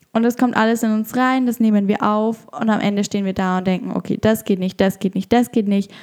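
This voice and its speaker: A woman's medium-pitched voice with a dark, mellow tone and fairly even intonation at a moderate pace, on a very clean recording with a silent background. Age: 20s. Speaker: podcast host and yoga teacher. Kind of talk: solo podcast monologue.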